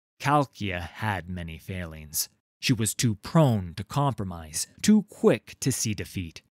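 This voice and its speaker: A man does a put-on character voice, fairly low in pitch and fairly slow in pace. The recording is very clean, with a silent background. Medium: read story. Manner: grave, blunt.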